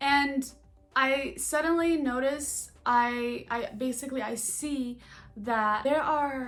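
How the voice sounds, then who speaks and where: In an animated tone, a woman speaks with a high pitch. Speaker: spiritual vlogger and coach. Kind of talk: casual monologue vlog. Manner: halting, stuttering.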